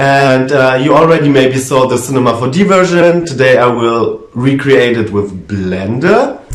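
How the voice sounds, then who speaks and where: With noticeable background noise, the speaker talks at a fairly slow pace in a German accent. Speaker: 3D animation tutorial creator. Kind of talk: tutorial. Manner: hesitant, with fillers.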